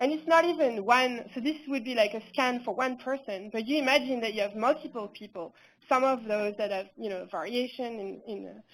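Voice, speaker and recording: Over a very clean recording with a silent background, the speaker talks at a fairly quick pace in a French accent, with ordinary pitch variation and big swings in loudness. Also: woman. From France. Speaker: researcher. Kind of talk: conference talk.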